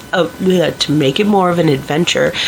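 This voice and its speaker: A woman speaks with a fairly low pitch. Noticeable background noise is present. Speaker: vlogger. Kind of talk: personal vlog monologue.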